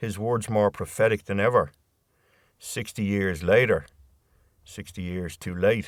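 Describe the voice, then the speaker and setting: A man talks with a Dublin accent. His pitch is fairly low. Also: very clean recording, silent background. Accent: Irish (Dublin). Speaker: poet. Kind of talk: spoken word poetry reading.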